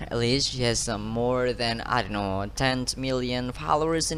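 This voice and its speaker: Noticeable background noise behind a man's medium-pitched voice. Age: 20s. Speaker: university student. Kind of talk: class presentation. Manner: halting.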